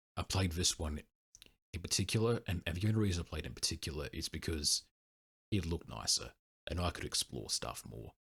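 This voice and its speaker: Long, frequent pauses break up a man's very deep, low voice, which carries vocal fry. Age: 20s. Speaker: retro gaming youtuber. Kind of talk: casual monologue. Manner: halting.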